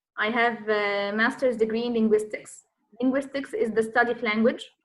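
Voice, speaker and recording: With an Egyptian accent, a woman speaks at a fairly high pitch and with fairly even intonation. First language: Arabic. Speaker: Arabic teacher. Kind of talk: self-introduction in online class Q&A. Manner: halting, many fillers.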